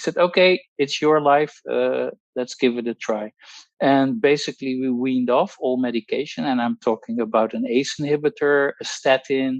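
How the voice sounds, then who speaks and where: A man with a Dutch accent at a moderate pace, ordinary pitch variation, and a dry, close sound with no echo. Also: medium pitch for a man. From Netherlands. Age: 60s. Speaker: pharmacologist. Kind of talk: testimony. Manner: halting, many fillers.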